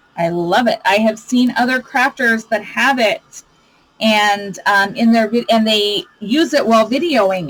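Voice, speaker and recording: Speaking at a fairly slow pace, a woman uses a fairly high pitch with ordinary pitch variation over noticeable background noise. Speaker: crafting youtuber. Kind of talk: tutorial. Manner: loud; animated.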